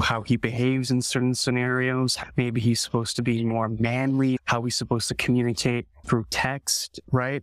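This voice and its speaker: Here is a man with a Canadian accent at a medium pitch and moderate pace. He has a plain, everyday voice, and the sound is dry and close with no echo. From Canada. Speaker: film director. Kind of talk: interview conversation.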